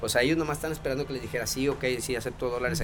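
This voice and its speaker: A medium-pitched man with a northern Mexican accent, against noticeable background noise. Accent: northern Mexican (norteño) Spanish. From Mexico, Sabinas Hidalgo, Nuevo León. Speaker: chef. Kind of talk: casual chat. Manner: very casual, filler-heavy speech.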